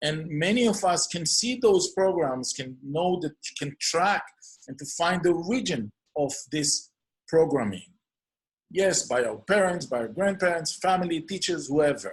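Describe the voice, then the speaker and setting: With an Israeli accent, a man speaks at a fairly slow pace in a high pitch with lively intonation. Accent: non-native English, Hebrew. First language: Hebrew. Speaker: clinical hypnotherapist. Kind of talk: podcast introduction monologue.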